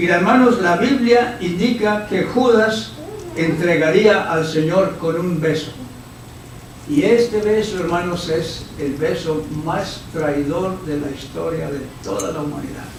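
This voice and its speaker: A man's high voice at a very slow pace with lively intonation, noticeable background noise and audible room echo. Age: 70s. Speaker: visiting preacher. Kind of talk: sermon. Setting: church service with congregation.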